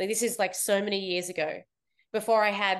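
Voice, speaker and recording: A woman's fairly quick, monotone delivery in an Australian accent, against a quiet background. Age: 30s. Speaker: fitness competitor and coach. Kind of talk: interview.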